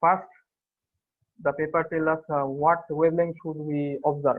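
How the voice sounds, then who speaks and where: A man with a non-native accent, a fairly high pitch and fairly even intonation. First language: not English. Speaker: student presenter. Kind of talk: academic paper presentation. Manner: hesitant, many fillers.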